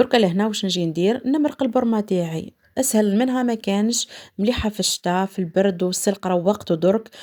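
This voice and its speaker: A woman speaks at a medium pitch and a moderate pace, with a dark, mellow tone. Her pitch variation is ordinary, and the recording is very clean with a silent background. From eastern Algeria. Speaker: cooking channel host. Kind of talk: cooking tutorial. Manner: casual, conversational.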